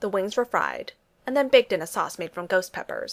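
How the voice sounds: This is a natural reading voice. It comes through in the clip.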